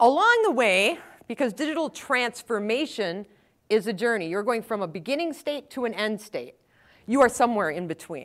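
A woman with a Wisconsin accent speaks at a moderate pace with lively intonation and a fairly high pitch. The recording is very clean, with a silent background. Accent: Wisconsin Upper Midwest. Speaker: technical evangelist. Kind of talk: conference talk. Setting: stage with audience.

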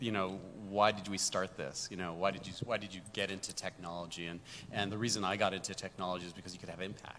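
Pitch shifts in an ordinary way. The voice has a bright, sharp tone. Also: man. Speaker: tech executive. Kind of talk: panel discussion.

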